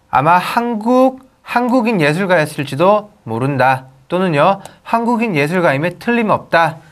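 Very wide pitch swings at a fairly slow pace. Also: man, high pitch for a man. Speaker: English teacher. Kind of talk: lecture. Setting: recorded video lesson. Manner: animated.

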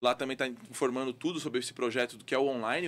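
A man talks at a very fast pace. His pitch varies an ordinary amount. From Rio Grande do Sul, Brazil (Porto Alegre); Rio Grande do Sul, Brazil. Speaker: boxing coach. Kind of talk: casual interview. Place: studio. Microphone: studio mic.

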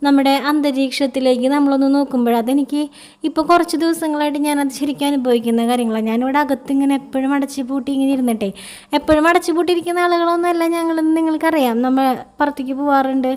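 A woman's high voice, fairly even intonation, and noticeable background noise. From Kerala, village near Chelur. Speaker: mom vlogger. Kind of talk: vlog narration.

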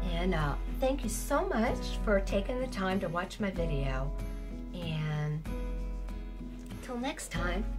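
A woman keeps a fairly slow pace while clear music sounds in the background. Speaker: amateur poet. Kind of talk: casual talk to camera. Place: home room. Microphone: camera far.

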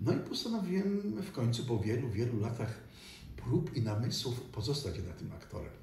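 A man talks at a moderate pace with very wide pitch swings. Light background noise and audible room echo are present. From Poland, Silesia (Katowice). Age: 60s. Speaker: stage actor. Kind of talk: interview. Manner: halting. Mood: reflective, warm reminiscing. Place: home room.

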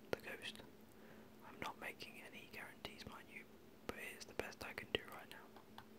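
Whispering at a moderate pace, with long, frequent pauses. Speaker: gaming ASMR creator. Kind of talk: gaming commentary. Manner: whispered.

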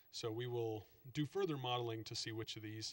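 The man's voice rises and falls with ordinary pitch variation. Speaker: state transportation planner; presenter. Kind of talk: slide presentation to council. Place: meeting room.

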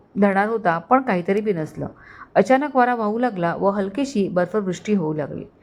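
This is plain reading aloud. The words are simply read out.

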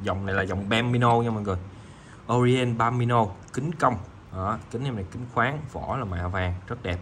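There is audible room echo around a man's voice. He speaks at a moderate pace with ordinary pitch variation. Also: medium pitch for a man. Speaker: watch seller. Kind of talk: sales pitch. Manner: informal, chatty.

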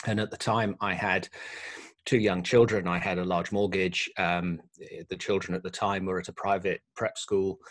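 Against a quiet background, a man with a very deep, low pitch speaks at a moderate pace in a monotone, flat intonation. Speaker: podcast guest. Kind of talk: interview answer. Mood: reflective, calm. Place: home room. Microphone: studio mic.

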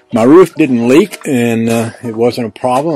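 Faint music plays in the background behind a man speaking. His voice sounds dry, with no echo. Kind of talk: casual vlog chat. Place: open country. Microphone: phone near.

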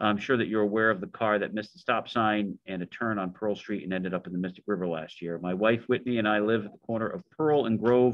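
The speech moves at a very fast pace with fairly even intonation. The sound is dry with no echo over a quiet background. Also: man. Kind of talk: meeting discussion, reading a letter aloud. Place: meeting room. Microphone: video call.

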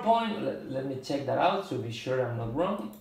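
With a Spanish accent, a man talks at a moderate pace, his pitch swinging very widely amid audible room echo. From Spain. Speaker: drummer and video blogger; drummer reviewing drumsticks. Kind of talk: product review monologue. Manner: halting, many fillers. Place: home room. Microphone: phone near.

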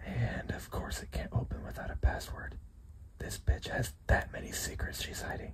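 Someone whispers at a moderate pace with long, frequent pauses while background noise stays noticeable. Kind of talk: ASMR scary story narration, acted as a companion whispering to the listener. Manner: whispered, hushed.

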